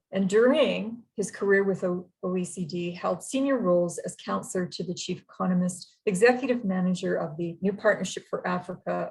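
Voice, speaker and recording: In a Canadian accent, a somewhat breathy woman speaks at a medium pitch. Her pace is fairly quick, with ordinary pitch variation. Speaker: university representative introducing speakers. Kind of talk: formal webinar introduction. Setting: online webinar.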